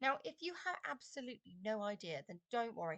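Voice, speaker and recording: In a dry, close sound with no echo, a woman speaks at a fairly high pitch and a moderate pace. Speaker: design and technology teacher. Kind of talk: tutorial. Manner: hesitant, many fillers.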